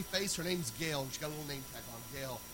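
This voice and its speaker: A man speaks at a very fast pace in a raised, projected voice with ordinary pitch variation. The room echo is audible, and there is noticeable background noise. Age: 40s. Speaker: pastor. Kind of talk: sermon.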